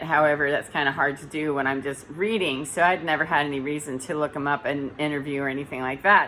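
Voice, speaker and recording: Loud and bright, with a sharp tone, a woman speaks in a very deep, low pitch and fairly even intonation. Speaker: spiritual vlogger, energy healer. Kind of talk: casual vlog monologue. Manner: sometimes flat, robotic intonation.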